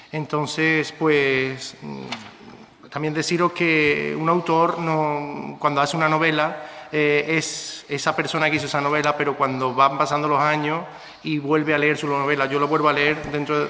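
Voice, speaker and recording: At a moderate pace, a man speaks in a fairly high voice. His intonation is monotone and flat, with noticeable background noise. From Andalusia, Spain (Córdoba/Seville area). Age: 30s. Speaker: novelist and schoolteacher. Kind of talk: book presentation talk.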